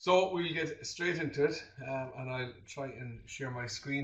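A man with a southern Irish accent talks at a moderate pace in a somewhat breathy, medium-pitched voice with ordinary pitch variation. Room echo is audible. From southern Ireland. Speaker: teacher. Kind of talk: webinar presentation. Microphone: video call.

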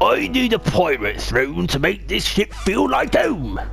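A put-on character voice from a man, at a fairly slow pace, with clear music in the background. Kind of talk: swaggering pirate speech.

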